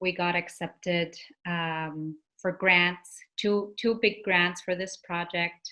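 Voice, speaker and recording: With a Canadian Arctic accent, a woman speaks very slowly in a monotone, flat line, her fairly low voice bright and sharp in tone. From Nunavik, Quebec (Inuit). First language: Inuktitut. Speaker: singer-songwriter. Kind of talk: interview.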